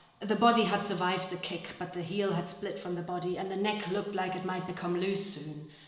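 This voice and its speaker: Amid noticeable background noise, a woman of medium pitch talks at a fairly quick pace in a flat monotone. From Germany. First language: German. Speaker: actress and translator. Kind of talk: live literary reading. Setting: live event hall with guitar accompaniment.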